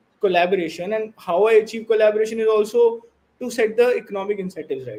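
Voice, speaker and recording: Speaking with a dark, mellow tone, a man has a high pitch and ordinary pitch variation. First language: not English. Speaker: blockchain project founder. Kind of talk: interview. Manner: halting.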